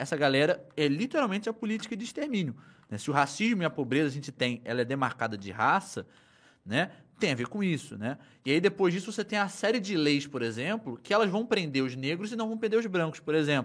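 The recording is very clean, with a silent background. A fairly high-pitched man speaks at a fairly quick pace, his pitch swinging very widely. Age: 20s. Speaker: history teacher and content creator. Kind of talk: casual chat.

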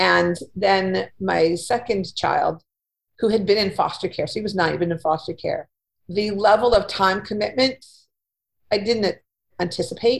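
A woman with a Canadian accent at a moderate pace. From Winnipeg, Manitoba, Canada. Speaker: career coach and freelance writer. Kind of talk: casual interview.

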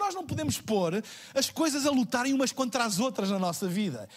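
With a European Portuguese accent, a man moves through very wide pitch swings at a moderate pace. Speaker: pastor. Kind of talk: sermon. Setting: church livestream.

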